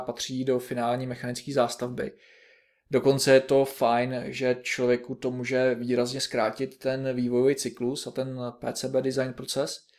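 Monotone, flat intonation at a fairly slow pace on a very clean recording with a silent background. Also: man. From Czech Republic, Liberec region. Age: 30s. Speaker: electronics engineer, podcast co-host. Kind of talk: casual technical chat.

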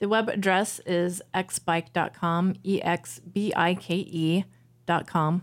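Speaking at a very slow pace, a woman with a fairly low pitch keeps very even loudness and fairly even intonation in a very clean recording with a silent background. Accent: American. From Missouri, US Midwest. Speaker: bike shop worker. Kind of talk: casual chat. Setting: studio. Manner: halting.

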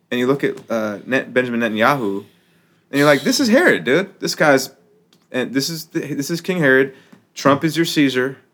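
On a very clean recording with a silent background, a man with an American accent uses a normal speaking voice, fairly high in pitch, at a moderate pace with lively intonation. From United States. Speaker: rapper and activist. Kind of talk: casual chat. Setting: studio.

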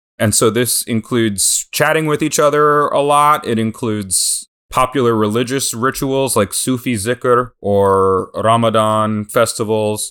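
At a fairly slow pace with hardly any pauses, a man uses a normal speaking voice of medium pitch, with ordinary pitch variation and very even loudness. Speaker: historian and author. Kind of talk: interview. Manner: articulate.

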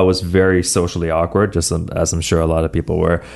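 This man's pitch is very deep and low. His tone is enthusiastic. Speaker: fitness trainer. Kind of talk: casual interview. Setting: studio.

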